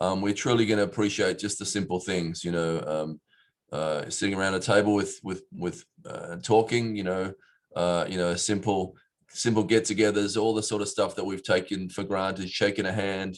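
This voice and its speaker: A man's fairly low, fairly even voice with an Australian accent against a quiet background. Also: moderate pace. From Australia, Perth. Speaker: city mayor. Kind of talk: prepared speech. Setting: virtual event. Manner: hesitant, many fillers.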